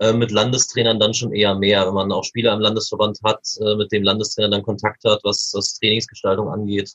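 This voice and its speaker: A man speaks at a fairly quick pace with hardly any pauses. His pitch is fairly low and his intonation monotone and flat. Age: 20s. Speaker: youth table tennis coach. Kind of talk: podcast interview.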